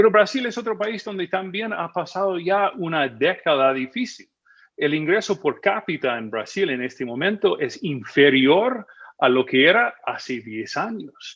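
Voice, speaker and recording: High-pitched with very wide swings, a man talks in an American accent. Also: fairly slow pace. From United States. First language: English (speaking Spanish). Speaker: magazine editor and policy analyst. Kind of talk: TV news interview. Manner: hesitant, with many fillers.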